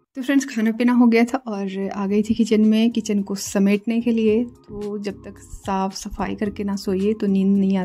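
A woman talks at a fairly slow pace in a monotone, flat intonation. Faint music plays in the background. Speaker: home cooking vlogger. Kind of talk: casual vlog chat. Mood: warm, relaxed.

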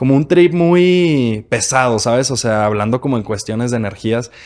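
A man's fairly quick pace with ordinary pitch variation. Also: quiet background. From Mexico. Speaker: podcast host. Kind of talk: casual interview. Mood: relaxed, friendly, smiling. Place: studio. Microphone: studio mic.

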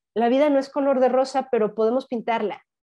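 The woman's intonation is fairly even at a moderate pace. Her background is quiet. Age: 50s. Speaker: spiritual guide and dancer; interview guest. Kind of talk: interview conversation; interview answer. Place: home room. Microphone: lapel.

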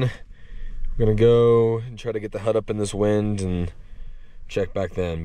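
A man speaks at a moderate pace with lively intonation. The sound is dry, with no echo. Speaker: ice fishing vlogger. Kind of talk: casual vlog chat. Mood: exasperated but upbeat. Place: open country. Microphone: phone near.

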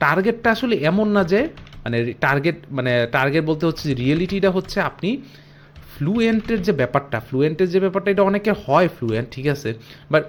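A man with a high pitch and lively intonation. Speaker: YouTuber learning Japanese. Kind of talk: casual vlog monologue. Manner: unscripted, filler-heavy.

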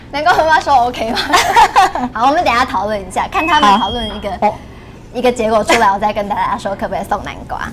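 A woman talks at a very fast pace but leaves long, frequent pauses. Loud background noise runs underneath. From Taiwan, Tainan-born, lives in Taipei. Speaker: dietitian. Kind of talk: livestream health talk, casual chat. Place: studio. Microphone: lapel.

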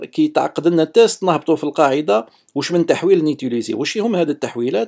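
On a very clean recording with a silent background, a man with an Algerian accent speaks at a fairly high pitch with a dark, mellow tone. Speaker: software developer. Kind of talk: technical lecture. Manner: casual, code-switching with French.

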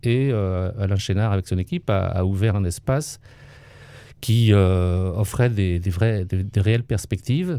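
A man speaks at a fairly slow pace. His tone is dark and mellow, and the sound is dry with no echo. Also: fairly low pitch for a man, ordinary pitch variation. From France, Vendée coast; France. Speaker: retired local government official and author; interviewee, local civic actor. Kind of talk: interview testimony. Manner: hesitant, many fillers. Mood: calm, reflective.

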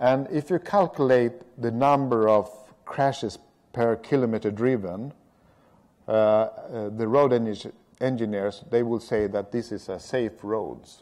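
Speaking with a Swedish accent, a man keeps a medium pitch with ordinary variation and a fairly slow pace against a quiet background. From Sweden. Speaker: road safety strategist; speaker. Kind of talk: lecture. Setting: stage with audience. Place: hall.

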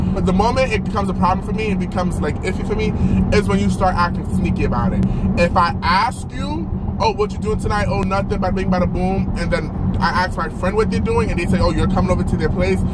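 Amid loud background noise, a man talks at a very fast pace. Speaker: vlogger. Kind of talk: casual vlog chat. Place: car. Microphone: phone near.

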